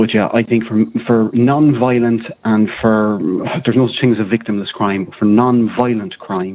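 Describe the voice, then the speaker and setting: A man talks in an Irish accent at a medium pitch. His intonation is fairly even. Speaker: caller. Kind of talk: phone-in radio chat. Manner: fast.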